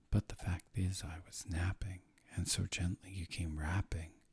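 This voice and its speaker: The speech comes at a very slow pace in a somewhat breathy voice. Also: man. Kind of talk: poetry reading.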